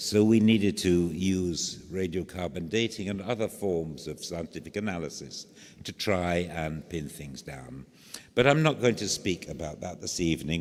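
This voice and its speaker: Here a man speaks at a very deep, low pitch. His pitch varies in an ordinary way. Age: old. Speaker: archaeologist. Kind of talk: lecture. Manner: clear diction; halting, many fillers.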